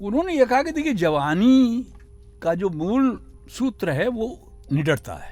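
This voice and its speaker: Music plays in the background as a man speaks at a high pitch with very wide pitch swings. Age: 80s+. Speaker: writer. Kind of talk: interview. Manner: measured, reflective.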